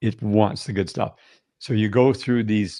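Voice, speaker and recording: A man with a Canadian accent and a fairly low pitch talks at a moderate pace with ordinary pitch variation, over a quiet background. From Canada. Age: 60s. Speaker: health and wellness guest. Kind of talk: podcast interview.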